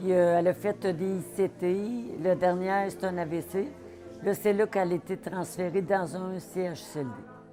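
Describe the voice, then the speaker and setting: Music plays in the background while a woman's speech proceeds at a fairly slow pace. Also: medium pitch for a woman, ordinary pitch variation. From Quebec, Mauricie. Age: 60s. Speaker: family caregiver. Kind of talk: testimony.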